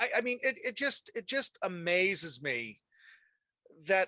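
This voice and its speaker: Against a quiet background, a man speaks in a bright, sharp tone with lively intonation and a dry, close sound with no echo. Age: 50s. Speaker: talk show host. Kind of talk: interview. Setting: video call.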